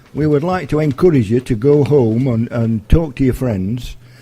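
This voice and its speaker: With a South Yorkshire accent, a man speaks at a moderate pace in a dark, mellow, somewhat breathy voice of medium pitch and ordinary pitch variation. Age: 70s. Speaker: community group vice chairman. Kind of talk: radio interview. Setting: school. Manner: halting.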